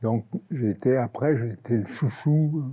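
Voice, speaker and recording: Speaking very slowly, a man uses a dark, mellow tone at medium pitch with ordinary pitch variation. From Normandy, France. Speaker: care home resident. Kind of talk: testimony. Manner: halting.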